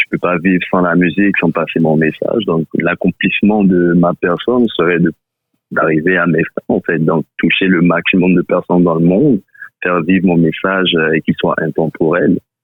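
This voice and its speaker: Very deep and low, this man's voice holds a very even loudness. He keeps a moderate pace and fairly even intonation. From Ivory Coast. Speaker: rapper. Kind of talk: interview answer.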